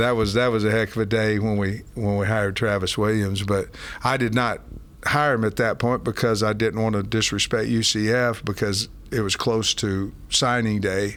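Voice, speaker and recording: An ordinary speaking voice: a man at a moderate pace, fairly low in pitch, with fairly even intonation. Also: very even loudness. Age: 60s. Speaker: college football head coach. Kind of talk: interview. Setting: in person, team facility.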